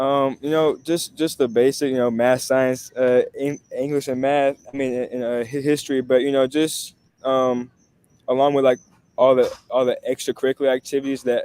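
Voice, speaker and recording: In an American accent, a man speaks at a moderate pace in a dark, mellow tone of medium pitch, his intonation monotone and flat. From Texas, Sugar Land. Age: 18. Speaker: college student. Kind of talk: interview. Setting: online talk show. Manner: halting, many repetitions and fillers; polite, formal.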